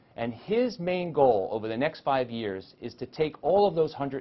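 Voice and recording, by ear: The man's voice sits at a medium pitch, with lively intonation and a moderate pace.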